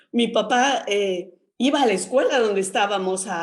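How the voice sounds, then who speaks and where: The speaker uses a normal speaking voice at a fairly slow pace with ordinary pitch variation. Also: woman. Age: 60s. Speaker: nurse and sex educator, book author. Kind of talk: radio interview.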